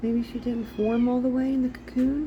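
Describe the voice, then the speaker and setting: Over noticeable background noise, a woman speaks in a high pitch with flat, monotone intonation. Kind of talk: casual talk to camera.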